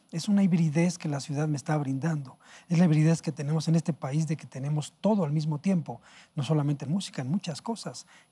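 A man's somewhat breathy, dark and mellow voice, fairly high in pitch, with ordinary pitch variation and a fairly quick pace. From Mexico City (historic centre). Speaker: jazz pianist and composer; guest. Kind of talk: interview. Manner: halting. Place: studio. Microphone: lapel.

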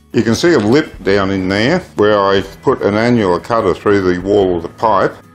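Over faint music in the background, a man speaks at a fairly low pitch and a fairly quick pace with ordinary pitch variation. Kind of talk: tutorial. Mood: calm, explanatory. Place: garage. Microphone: phone near.

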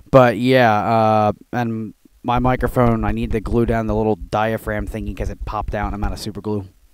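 A soft-spoken man talks at a fairly quick pace. The recording is very clean, with a silent background. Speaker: gaming YouTuber. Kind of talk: casual tutorial commentary. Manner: quiet, talking softly.

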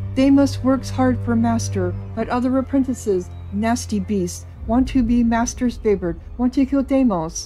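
Over clear background music, a woman uses a put-on character voice at a moderate pace. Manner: pitiful, whining.

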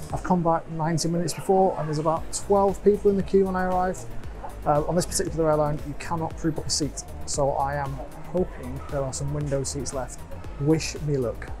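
Clear music plays in the background. Over it, a man talks at a fairly quick pace. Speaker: travel vlogger. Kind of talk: casual vlog chat. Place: station. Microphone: earbuds.

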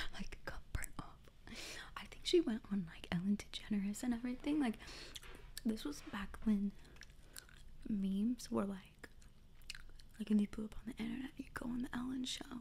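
The voice is a woman's whisper. Her speed is neither fast nor slow. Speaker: ASMR content creator. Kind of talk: ASMR talk to camera. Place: home room. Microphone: studio mic.

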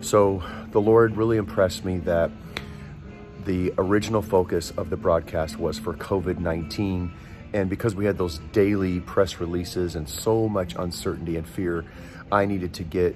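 Clear music in the background behind a man's very deep, low voice, moderate pace and fairly even intonation. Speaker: broadcast host, prayer minister. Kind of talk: casual vlog chat. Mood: warm, grateful, earnest. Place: station. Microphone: phone near.

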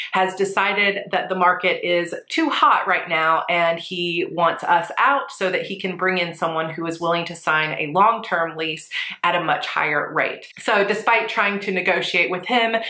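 A woman talks at a moderate pace with hardly any pauses. Her pitch varies in an ordinary way, and there is audible room echo. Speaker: planner vlogger. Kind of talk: casual vlog chat. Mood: stressed but composed. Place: home room.

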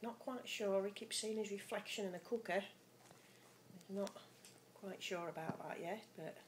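Over light background noise, a woman talks at a moderate pace with fairly even intonation. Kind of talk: casual pet narration. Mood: fond, relaxed, amused. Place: kitchen. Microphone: phone near.

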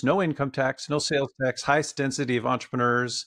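A man with an American accent, fairly high in pitch, with fairly even intonation at a moderate pace against a quiet background. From US Midwest, Wisconsin (Madison); Wisconsin. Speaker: company founder and psychologist; podcast guest. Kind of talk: interview. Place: home room. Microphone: studio mic.

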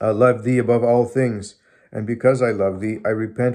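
A man speaks at a medium pitch with a slightly mellow tone. His intonation is fairly even.

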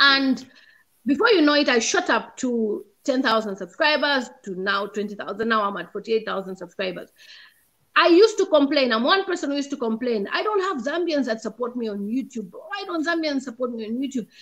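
Against a quiet background, a woman talks at a high pitch and a moderate pace with very wide pitch swings. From Zambia. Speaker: YouTube content creator; guest. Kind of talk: casual chat. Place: home room. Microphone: video call.

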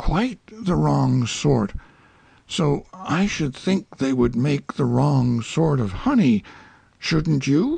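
A put-on character voice growls in an anxious tone at a low-to-middle pitch and a very slow pace. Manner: earnest, slow-thinking, anxious.

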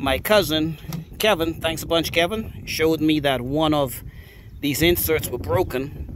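A man speaks with ordinary pitch variation. The sound is dry with no echo, and background noise is noticeable. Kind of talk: casual vlog chat. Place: open country. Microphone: phone near.

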